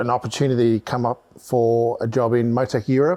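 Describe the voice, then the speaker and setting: The speaker is a man. His tone is dark and mellow, his pitch medium. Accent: Australian. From Australia, Melbourne. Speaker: motorsport electronics specialist and race driver. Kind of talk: casual podcast chat.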